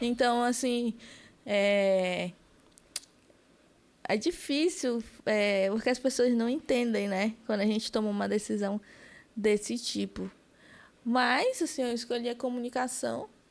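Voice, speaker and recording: Ordinary pitch variation at a fairly slow pace, broken by long, frequent pauses. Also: woman, fairly high pitch for a woman. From Amazonas interior, Brazil (Benjamin Constant). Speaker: political activist, communication student. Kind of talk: podcast interview.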